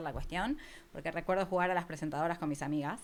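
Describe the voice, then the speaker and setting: A very fast pace with ordinary pitch variation, in an Argentine accent. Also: woman. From Argentina, near Buenos Aires. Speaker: podcast marketing agency founder. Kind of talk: interview.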